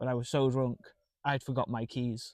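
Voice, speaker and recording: Heard in a dry, close sound with no echo, a man talks at a fairly slow pace and a medium pitch. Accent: Manchester. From Manchester, northern England. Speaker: stand-up comedian. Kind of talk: casual chat.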